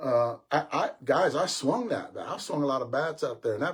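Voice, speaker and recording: At a fairly quick pace, a man speaks in a somewhat breathy voice with a fairly high pitch and ordinary pitch variation. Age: 60s. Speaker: senior softball podcast host. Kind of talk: casual live-stream talk. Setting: live stream. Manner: fast, stammering repetitions.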